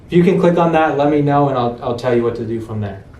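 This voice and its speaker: Audible room echo and noticeable background noise accompany a man speaking at a medium pitch with lively intonation. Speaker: real estate investor training his acquisitions team. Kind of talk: sales training role-play. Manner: fast; casual, filler-heavy.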